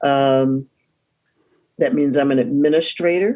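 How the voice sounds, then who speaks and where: A woman's very deep, low voice, dark and mellow in tone, in an American accent. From US South, Durham, North Carolina. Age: 60s. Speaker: divinity school dean and professor. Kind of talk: interview. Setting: video call.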